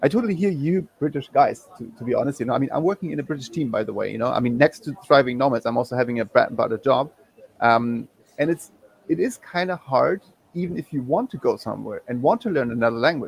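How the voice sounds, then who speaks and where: A man with a German accent and a fairly high pitch speaks at a very fast pace with lively intonation, the sound dry and close with no echo. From Germany. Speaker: guest, digital nomad. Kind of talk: live panel chat.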